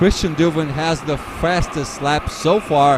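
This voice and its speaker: Over noticeable background noise, a man talks fairly slowly in a fairly high voice. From Portugal. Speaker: race commentator. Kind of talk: live commentary.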